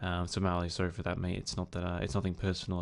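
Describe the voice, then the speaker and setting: A man with a very deep, low voice speaks with monotone, flat intonation. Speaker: gaming channel co-owner. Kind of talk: casual channel update monologue. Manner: hesitant, many fillers.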